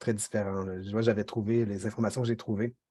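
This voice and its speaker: Dark and mellow in tone, a man's medium-pitched voice stays monotone and flat. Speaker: workshop trainer, communications officer. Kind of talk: online training lecture. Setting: video call, screen sharing. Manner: fast; hesitant, many fillers.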